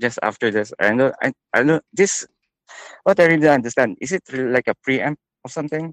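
The recording is dry and close with no echo, capturing a man with a fairly high voice and lively intonation. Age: 30s. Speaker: caller. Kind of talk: personal advice call. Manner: halting.

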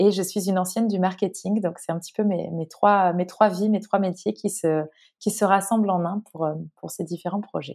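A woman speaks at a moderate pace and medium pitch with a dark, mellow tone and fairly even intonation on a very clean recording with a silent background. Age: 30s. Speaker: naturopath and author. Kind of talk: interview.

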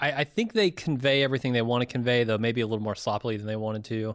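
This man talks at a medium pitch with an American accent, on a very clean recording with a silent background. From US (California, then Indiana). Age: 30s. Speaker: podcast co-host. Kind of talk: casual chat.

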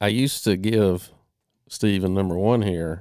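A man's very deep, low voice at a fairly slow pace, very cleanly recorded against a silent background, dry and close with no echo. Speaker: podcast co-host. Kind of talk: casual chat.

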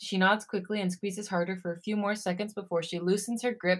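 The intonation holds fairly even. It is plain reading aloud.

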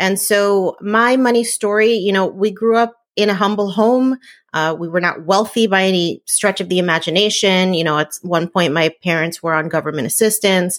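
A woman speaks with a normal speaking voice at a moderate pace, medium in pitch with ordinary pitch variation. The recording is very clean, its background silent. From New Jersey, Puerto Rican family. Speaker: entrepreneur and blogger. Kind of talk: interview.

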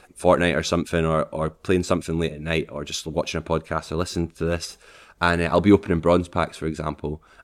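Someone talks at a very fast pace in a Scottish accent on a very clean recording with a silent background. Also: man. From Scotland, Falkirk. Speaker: streamer. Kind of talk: casual chat.

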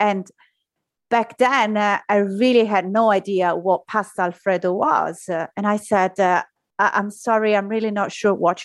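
A woman speaks with an Italian accent at a medium pitch and a moderate pace, in a dry, close sound with no echo. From Italy, Rome. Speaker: surgeon. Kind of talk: interview.

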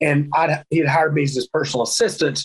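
In a Southern US accent, the speaker talks at a moderate pace, somewhat breathy, with monotone, flat intonation. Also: man. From US South, North Carolina. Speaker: professional wrestler. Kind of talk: casual interview chat.

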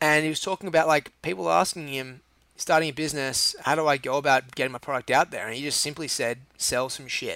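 With an Australian accent and a bright, sharp tone, a man talks at a very fast pace with ordinary pitch variation, in a dry, close sound with no echo. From Australia, Sydney Northern Beaches. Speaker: chef and restaurant owner. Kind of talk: casual interview.

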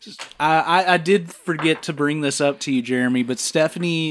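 Noticeable background noise sits under the voice. The pace is moderate, with ordinary pitch variation. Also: man. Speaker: podcast host. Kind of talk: casual chat, film review podcast.

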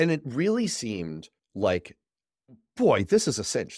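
A man speaks at a fairly slow pace with vocal fry and very wide pitch swings. The recording is very clean with a silent background, and the sound is dry and close with no echo. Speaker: political podcast host. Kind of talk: casual chat. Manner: animated.

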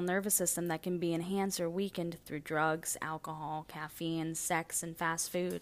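A woman with a normal speaking voice talks at a fairly low pitch with ordinary pitch variation, in a very clean recording with a silent background. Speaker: poet. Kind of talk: spoken-word poetry reading, original poem. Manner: measured, reflective; rhetorical, building by repeated questions.

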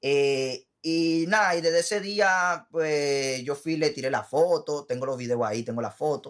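A man with an ordinary speaking voice and a fairly high pitch talks with ordinary pitch variation and hardly any pauses. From Puerto Rico and Dominican Republic. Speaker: musician and sound technician. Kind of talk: casual interview.

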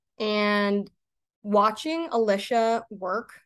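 A plain, everyday voice with an American accent speaks with fairly even intonation against a quiet background. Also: woman. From Maine, US. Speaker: sports dietitian. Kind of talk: interview.

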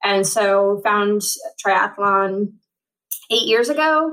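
A woman with a normal speaking voice, medium pitch and a fairly slow pace. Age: 40s. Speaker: paratriathlete. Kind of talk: interview.

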